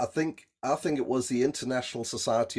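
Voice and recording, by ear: A man with a South African accent and ordinary pitch variation.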